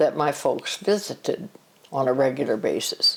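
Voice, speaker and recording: Ordinary pitch variation from a woman with an American accent. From US Midwest, southern Illinois. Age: 90s. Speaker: grandmother interviewed by family. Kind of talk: family interview, life stories. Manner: halting.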